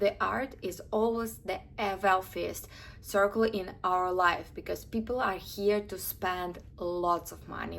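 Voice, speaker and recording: A woman speaks with an Eastern European accent. Her pace is fairly slow. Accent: Slavic. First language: Russian. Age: 20s. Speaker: lifestyle vlogger. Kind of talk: casual advice talk to camera.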